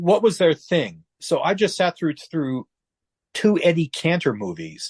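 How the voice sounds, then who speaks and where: In a dry, close sound with no echo, a man with a high pitch speaks at a fairly slow pace using lively intonation. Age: 70s. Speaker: retired newspaper editor. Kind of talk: interview. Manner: halting, many fillers and repeats.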